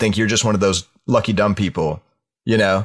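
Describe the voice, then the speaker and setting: A man with a Southern US accent speaks very fast in a fairly low pitch, on a very clean recording with a silent background. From US South. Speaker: podcast co-host. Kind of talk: casual chat.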